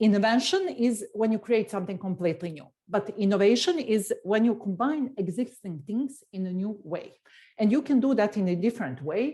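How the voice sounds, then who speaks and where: Dark, mellow female speech that is somewhat breathy. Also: lively intonation, moderate pace. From Serbia. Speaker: tech executive. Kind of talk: interview.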